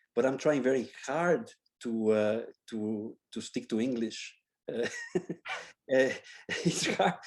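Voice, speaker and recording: With long, frequent pauses, a man speaks at a very slow pace and ordinary pitch variation. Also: medium pitch for a man. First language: Spanish. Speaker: architecture professor. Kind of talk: Q&A after a lecture. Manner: halting, with many repetitions.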